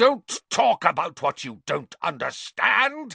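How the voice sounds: In a put-on character voice, a man speaks slowly at a high pitch with big pitch swings, a bright, sharp tone, vocal fry and a slightly husky edge, in a dry, close sound with no echo.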